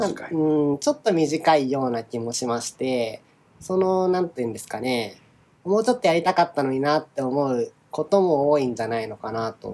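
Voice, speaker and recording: Fairly high-pitched, a man speaks with lively intonation in a dark, mellow tone. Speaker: podcast co-host, software engineer and former government official. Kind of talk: casual chat. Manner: drawn-out sentence endings.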